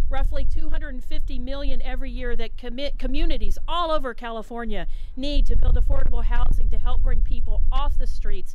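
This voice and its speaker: Noticeable background noise and audible room echo surround a woman speaking at a high pitch. She has an American accent and a fairly quick pace. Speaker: state legislator. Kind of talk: speech at bill signing. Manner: fast.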